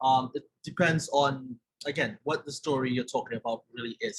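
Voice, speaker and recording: Somewhat breathy, a man with a Trinidadian accent speaks at a medium pitch with ordinary pitch variation. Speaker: journalism trainer. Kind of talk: webinar presentation.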